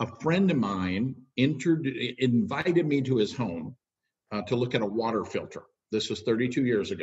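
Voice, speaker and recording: With an American accent and lively intonation, a man speaks at a moderate pace in a medium pitch, his voice somewhat breathy against a quiet background. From Minnesota, US. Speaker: network marketing leader. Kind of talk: interview. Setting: video call. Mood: warm, storytelling. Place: home room. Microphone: webcam.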